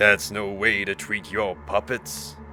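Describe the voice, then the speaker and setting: Over clear background noise, a man uses a put-on character voice, fairly low in pitch, with ordinary pitch variation and a fairly slow pace. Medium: read story. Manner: cryptic, menacing.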